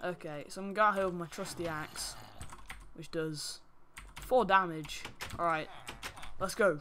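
Moderate pace with long, frequent pauses, over noticeable background noise. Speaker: gaming YouTuber. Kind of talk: gameplay commentary. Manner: animated.

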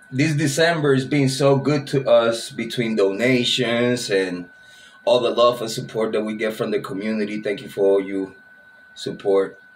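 There is light background noise behind a man's voice. He talks at a moderate pace with ordinary pitch variation. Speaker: true crime channel host. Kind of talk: casual vlog chat. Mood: relaxed, grateful, laughing. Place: home room.

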